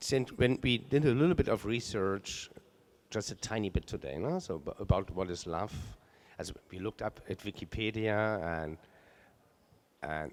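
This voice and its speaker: Using lively intonation, a man with a German accent speaks at a moderate pace in a fairly low voice. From Germany. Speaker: art curator. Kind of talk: on-stage conversation. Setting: stage with audience.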